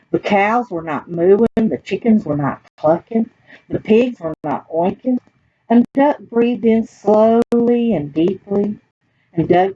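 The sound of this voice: In a dry, close sound with no echo, a woman talks at a slow pace with lively intonation, her dark, mellow tone carrying a slightly husky edge.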